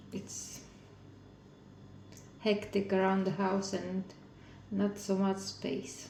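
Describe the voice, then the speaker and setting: Amid noticeable background noise and audible room echo, a woman with a non-native accent speaks at a very slow pace and medium pitch, her intonation monotone and flat, with long, frequent pauses. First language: not English. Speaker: craft video maker. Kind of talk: casual crafting tutorial. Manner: halting.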